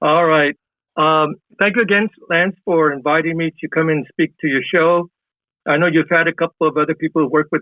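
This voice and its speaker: Speaking at a very fast pace with a Californian accent, a man keeps his loudness very even and his intonation fairly even at a fairly high pitch. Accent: Californian American English. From US West, East Los Angeles. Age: 70s. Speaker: professor. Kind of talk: interview.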